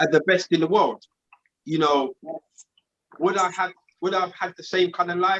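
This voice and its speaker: A high-pitched man with a London accent, moderate pace, long, frequent pauses, and a dry, close sound with no echo. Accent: London accent, noticed abroad. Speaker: podcast co-host. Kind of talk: casual group discussion. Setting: live stream. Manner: animated.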